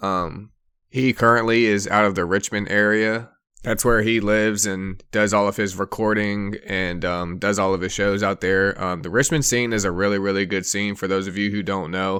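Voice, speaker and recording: A man with a fairly low pitch and bright, sharp tone, fairly even intonation and moderate pace, on a very clean recording with a silent background. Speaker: podcast host. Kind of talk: casual podcast talk. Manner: casual, many filler words.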